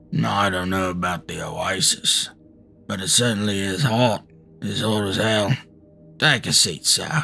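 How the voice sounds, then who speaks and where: A man puts on a raspy character voice at a fairly low pitch. He leaves long, frequent pauses. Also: moderate pace, ordinary pitch variation. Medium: read story. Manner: hearty, blunt, homely.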